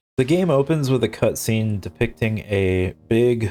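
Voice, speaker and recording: A man's medium-pitched voice over background music. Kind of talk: casual gaming commentary.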